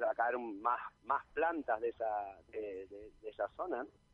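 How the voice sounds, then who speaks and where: His intonation fairly even, a man speaks at a medium pitch. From Arafo, Tenerife. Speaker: nature enthusiast. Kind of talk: casual chat.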